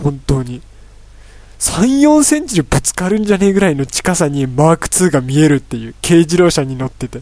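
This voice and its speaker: A man speaks at a fairly quick pace with a fairly high pitch, a dark, mellow tone and lively intonation. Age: 20s. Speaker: solo podcast host, university student. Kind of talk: casual solo talk. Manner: rambling, filler-heavy.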